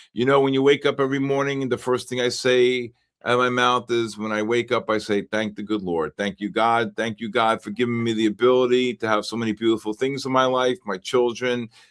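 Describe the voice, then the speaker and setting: A man talks at a fairly quick pace with a New York accent and hardly any pauses. His intonation is fairly even, on a very clean recording with a silent background. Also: medium pitch for a man, dry, close sound with no echo. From New York, the Bronx. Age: 60s. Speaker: futures trading livestream host. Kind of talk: live trading stream chat. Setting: livestream.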